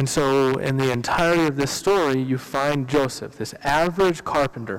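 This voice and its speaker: At a moderate pace, an ordinary speaking voice moves with ordinary pitch variation. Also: man. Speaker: pastor. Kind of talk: sermon. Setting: church.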